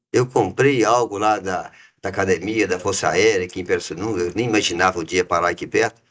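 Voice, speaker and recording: The man has a fairly low pitch and keeps his intonation fairly even. He talks at a fairly quick pace. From Minas Gerais, Brazil (raised in Itabira). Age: 60s. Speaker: business founder. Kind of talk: interview.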